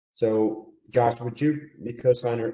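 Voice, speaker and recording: The speaker, a man, has a non-native accent. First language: not English. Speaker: surety bonding agent. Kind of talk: webinar presentation. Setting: online webinar.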